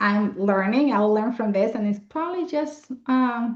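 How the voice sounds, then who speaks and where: Her voice sits fairly high in pitch. The woman's pitch variation is ordinary. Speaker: accountant and financial planner hosting a webinar. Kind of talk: webinar presentation. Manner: fast.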